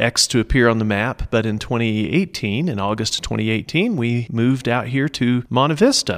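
In an American accent, a man with an ordinary speaking voice talks at a fairly quick pace with hardly any pauses, medium pitch and ordinary pitch variation, sounding dry and close with no echo on a very clean recording with a silent background. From Oklahoma (Norman, central Oklahoma). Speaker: small business owner, printer and photographer. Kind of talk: interview.

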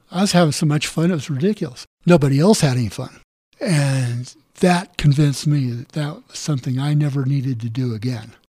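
A man with a Western US accent speaks at a fairly quick pace with a fairly high pitch. His tone is dark and mellow and somewhat breathy. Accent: American (Western US). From southern Colorado. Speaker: author and welder, navy veteran. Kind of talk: interview.

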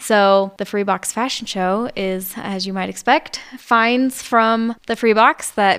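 A woman with an American accent speaks fairly slowly in a fairly high pitch, with fairly even intonation and hardly any pauses, on a very clean recording with a silent background. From Colorado, near Denver. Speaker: home tours organizer, earthship builder. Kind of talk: casual chat.

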